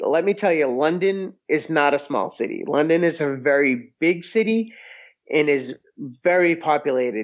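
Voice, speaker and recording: At a moderate pace, a man with a fairly high pitch speaks in a plain, everyday voice with very even loudness. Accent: American. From Massachusetts, near Boston. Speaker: restaurant owner and podcaster. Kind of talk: casual chat.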